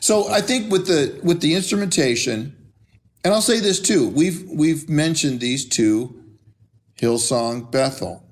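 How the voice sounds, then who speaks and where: A man at a fairly slow pace, with very wide pitch swings and very even loudness. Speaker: pastor and church musician. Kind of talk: casual chat.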